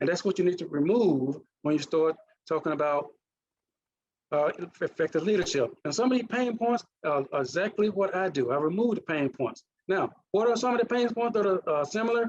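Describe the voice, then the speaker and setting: Speaking at a fairly quick pace, a man uses a high pitch, lively intonation, and very even loudness. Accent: Mississippi. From US South, Mississippi. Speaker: leadership coach and former naval officer. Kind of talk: presentation.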